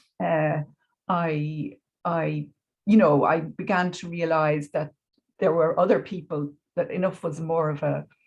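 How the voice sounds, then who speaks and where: With a Dublin accent, a woman speaks in a very deep, low, somewhat breathy voice, using ordinary pitch variation and long, frequent pauses. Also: fairly slow pace. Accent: Dublin Irish. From Ireland, Dublin. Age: 60s. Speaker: educator. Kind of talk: interview. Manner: hesitant, many fillers.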